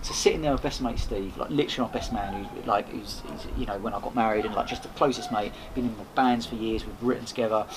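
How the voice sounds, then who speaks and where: Speech comes at a very fast pace with hardly any pauses and ordinary pitch variation. Noticeable background noise can be heard. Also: man, medium pitch for a man. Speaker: podcaster and event host. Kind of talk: casual interview chat.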